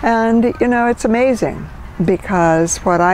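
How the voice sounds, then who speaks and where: Noticeable background noise accompanies a woman talking very slowly. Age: 70s. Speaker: minister. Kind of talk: interview.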